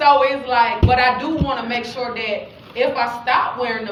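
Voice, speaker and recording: A woman speaks loudly in a high voice, with audible room echo and noticeable background noise. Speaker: faith-based branding speaker. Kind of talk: teaching talk to a group.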